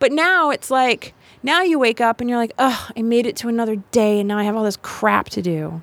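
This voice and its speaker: A woman with an American accent and a normal speaking voice talks at a fairly quick pace and a fairly high pitch. Her intonation is lively, and the recording is very clean with a silent background. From US South, Miami, Florida. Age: 40s. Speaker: death doula and storytelling show producer. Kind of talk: casual chat. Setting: studio.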